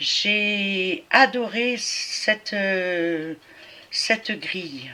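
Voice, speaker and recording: This is a woman talking. The rise and fall of her pitch is ordinary. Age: 60s. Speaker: cross-stitch vlogger. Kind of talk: casual craft show-and-tell vlog. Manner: hesitant, many fillers.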